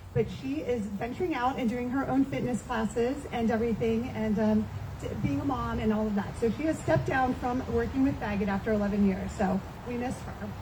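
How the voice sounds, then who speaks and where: Lively intonation at a fairly quick pace, with audible room echo and noticeable background noise. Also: woman, fairly high pitch for a woman. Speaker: charity director presenting at event. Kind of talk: event speech to audience. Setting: in-person event with audience. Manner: loud.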